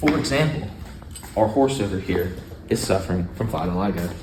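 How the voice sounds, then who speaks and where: A man with a plain, everyday voice talks at a fairly quick pace. His fairly low pitch shows ordinary pitch variation. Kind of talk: mock infomercial presentation.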